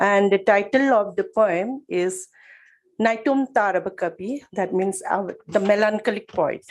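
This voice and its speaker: A woman with a Manipur accent, medium pitch, ordinary pitch variation and a fairly slow pace. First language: Manipuri. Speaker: poet. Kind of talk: poetry reading. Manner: formal.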